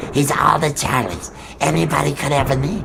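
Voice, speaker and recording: Clear background noise sits behind a cartoonish character voice delivered at a moderate pace. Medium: puppet show. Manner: rambling, repetitive, stammering.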